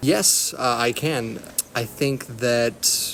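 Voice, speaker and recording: With an American accent, a man at a medium pitch speaks in fairly even intonation over noticeable background noise. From Texas. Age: 20s. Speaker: university student. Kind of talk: interview. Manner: halting, many fillers.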